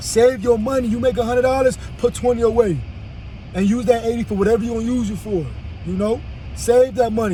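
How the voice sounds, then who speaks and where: A man's high-pitched voice at a very fast pace with noticeable background noise. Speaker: vlogger. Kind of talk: casual monologue. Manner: stammering repetitions.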